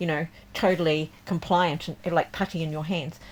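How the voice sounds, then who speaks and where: On a very clean recording with a silent background, a woman with an unremarkable speaking voice and fairly low pitch talks at a fairly quick pace. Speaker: tarot reader and deck creator. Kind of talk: tarot forecast reading. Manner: casual, with frequent fillers.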